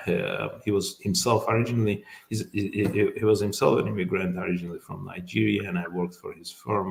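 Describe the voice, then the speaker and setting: A man with an Azerbaijani accent at a fairly quick pace. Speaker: immigration lawyer. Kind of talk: interview. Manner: halting, many fillers.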